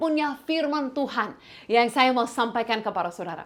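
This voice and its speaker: A woman with an English accent and a high pitch speaks at a moderate pace with lively intonation. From Canada, rural village. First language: English (speaking Indonesian). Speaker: pastor, missionary. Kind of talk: sermon. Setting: online from home. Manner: hesitant, with fillers and restarts.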